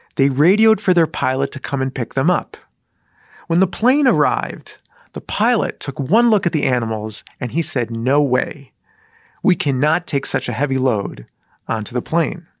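A man's fairly high voice with a Midwestern American accent, lively intonation, a moderate pace, and a dry, close sound with no echo. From Michigan, US. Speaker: rabbi. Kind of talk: sermon; storytelling.

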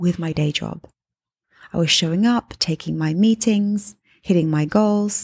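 A somewhat breathy woman with a warm tone, at a moderate pace, in a very clean recording with a silent background. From England. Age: 30s. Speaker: podcast host and life coach. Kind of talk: solo podcast monologue. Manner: conversational, warm.

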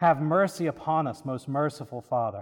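At a fairly slow pace, a man with an unremarkable speaking voice talks with ordinary pitch variation. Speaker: priest celebrant and preacher. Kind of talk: Anglican liturgy and sermon, prayers read aloud. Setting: church. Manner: solemn, reverent, fervent intercessory prayer in a measured liturgical cadence.

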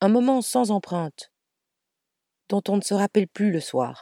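A woman's dark, mellow tone carries lively intonation in a dry, close sound with no echo. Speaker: podcast storyteller. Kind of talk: storytelling narration.

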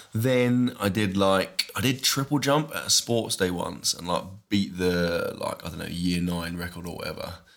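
A man with an ordinary speaking voice talks at a moderate pace with hardly any pauses, a fairly low pitch and lively intonation, in a very clean recording with a silent background. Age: 30s. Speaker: fitness YouTuber. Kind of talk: casual chat.

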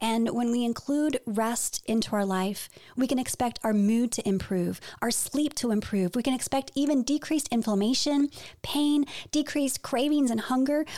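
A dark, mellow voice at a moderate pace with ordinary pitch variation and very even loudness, in a very clean recording with a silent background. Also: woman, high pitch for a woman. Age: 40s. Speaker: health podcast co-host. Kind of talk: casual chat.

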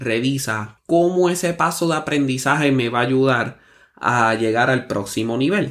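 A man with an unremarkable speaking voice and medium pitch speaks at a fairly slow pace on a very clean recording with a silent background. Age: 30s. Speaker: podcast host, musician. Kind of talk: motivational monologue.

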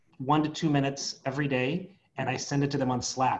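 Somewhat breathy, a man with an American accent speaks at a moderate pace in a fairly high voice. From San Diego, California. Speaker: association executive director, psychologist. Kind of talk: interview.

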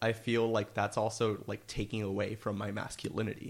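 In a very clean recording with a silent background, a man with an American accent speaks at a fairly low pitch in a monotone, flat intonation. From US, Miami, Florida. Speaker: college student. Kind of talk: casual interview.

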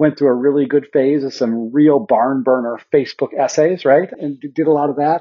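A man speaks with a Mountain West accent at a fairly high pitch. His pace is moderate and his pitch variation ordinary. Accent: American, Mountain West. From Montana. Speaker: nonprofit founder and trainer. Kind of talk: interview.

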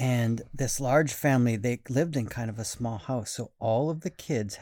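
With normal rises and falls in pitch, someone reads aloud in a natural voice.

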